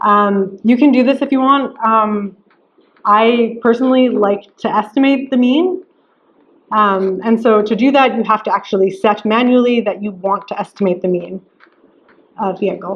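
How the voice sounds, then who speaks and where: Speaking at a moderate pace, a woman has a plain, everyday voice, fairly high in pitch, with ordinary pitch variation. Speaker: lecturer. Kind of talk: lecture. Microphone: limited recording equipment, poor quality early on.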